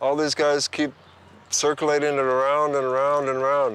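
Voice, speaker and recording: Here a man talks at a moderate pace with an American accent. His pitch sits fairly high. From US West Coast (Altadena, California). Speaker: compost gardener. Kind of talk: casual tour and chat. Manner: halting, many fillers.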